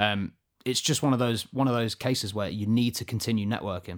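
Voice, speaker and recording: Delivered at a very fast pace with fairly even intonation, the speech carries an English accent on a very clean recording with a silent background. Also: man. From England. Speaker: podcast co-host. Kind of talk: casual chat.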